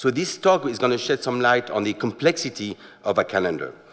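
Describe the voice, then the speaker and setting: A man with a French accent talks at a fairly quick pace and medium pitch, with very wide pitch swings. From France. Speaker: watch company manager, presenter. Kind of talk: lecture. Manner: halting, many filler words.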